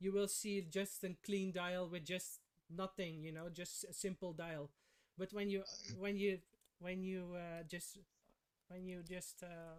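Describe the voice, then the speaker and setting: A man with a non-native accent and a high pitch talks at a fairly slow pace with fairly even intonation. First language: not English. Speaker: watch collector. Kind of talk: casual chat. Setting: livestream. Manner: halting.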